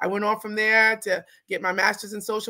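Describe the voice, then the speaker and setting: A woman's bright, sharp voice with an American accent, monotone and flat in intonation, over a quiet background. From New York. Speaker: clinical social worker and therapist; guest. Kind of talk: interview. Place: home room.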